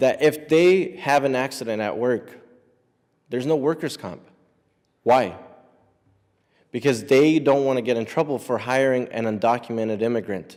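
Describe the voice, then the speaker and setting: In an American accent, a man talks at a moderate pace with a medium pitch and ordinary pitch variation. He leaves long, frequent pauses, and the recording is very clean with a silent background. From US, brought from Mexico at age eight. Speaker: immigrant rights advocate. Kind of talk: public speech.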